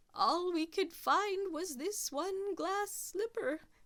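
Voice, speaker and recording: In a squeaky, put-on character voice, a woman speaks at an extremely high pitch and a very slow pace. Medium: read story.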